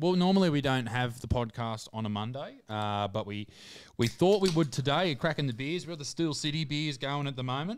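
Against light background noise, a man with an Australian accent speaks at a fairly quick pace, his fairly high pitch moving with lively intonation. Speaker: podcast host. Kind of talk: casual chat. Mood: jovial, relaxed. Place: studio. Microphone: studio mic.

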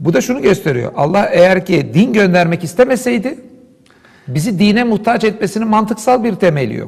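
The background is quiet. A man speaks in a high voice. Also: moderate pace. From Istanbul, Turkey. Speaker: philosopher and Islamic scholar. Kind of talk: interview discussion, explanatory talk. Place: studio. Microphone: lapel.

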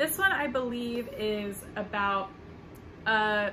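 A woman with an American accent, fairly high in pitch, with ordinary pitch variation. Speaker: book vlogger. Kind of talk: casual vlog.

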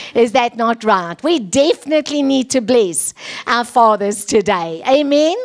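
A woman talks at a fairly slow pace in a high voice. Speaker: preacher. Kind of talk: sermon. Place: church. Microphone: handheld.

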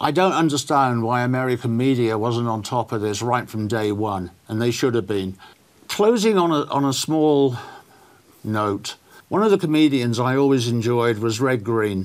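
The speaker is a man with a southern English accent. He talks at a moderate pace with ordinary pitch variation. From southern England. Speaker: political talk show host. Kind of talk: interview. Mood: somber, reflective. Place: studio. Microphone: lapel.

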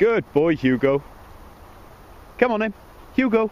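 A man's voice, dry with no echo, against loud background noise. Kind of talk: short commands and praise to dogs. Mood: warm, encouraging. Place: open country. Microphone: phone near.

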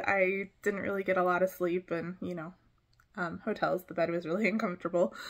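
Against a quiet background, a woman is talking. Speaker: small craft vendor. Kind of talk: casual vlog chat. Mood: relaxed, reflective, some laughs. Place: home room. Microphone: phone near.

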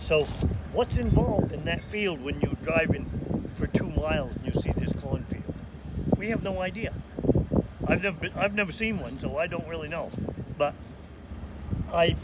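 Loud background noise runs behind a man speaking. He keeps a moderate pace with long, frequent pauses. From Maine. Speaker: lobsterman. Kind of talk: interview answer. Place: waterside.

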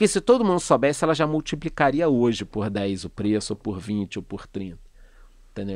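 Over a quiet background and with a dry sound with no echo, a man talks at a moderate pace with lively intonation. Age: 40s. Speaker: economist and finance youtuber; finance youtuber. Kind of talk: casual interview chat. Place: studio. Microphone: studio mic.

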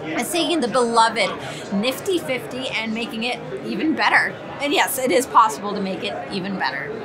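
Over clear background noise, including clear crowd noise, a woman speaks at a moderate pace with fairly high pitch and lively intonation.

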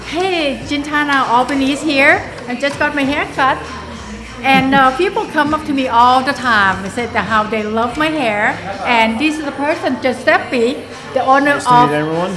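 Over clear music in the background, a woman speaks at a moderate pace in a high voice with ordinary pitch variation. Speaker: client vlogger. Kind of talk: casual vlog chat. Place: shop. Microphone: phone near.

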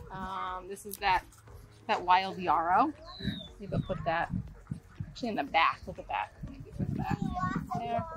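A woman at a fairly slow pace with long, frequent pauses, a dry sound with no echo and noticeable background noise. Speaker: flower farmer and video creator; video creator. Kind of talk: tutorial. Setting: outdoors on a flower farm. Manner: enthusiastic. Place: farm.

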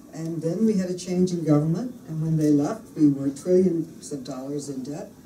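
A woman with a very deep, low pitch and a dark, mellow tone sounds somewhat breathy, talking at a moderate pace with ordinary pitch variation amid audible room echo and light background noise. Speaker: politician giving a speech. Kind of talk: speech. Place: meeting room. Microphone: podium.

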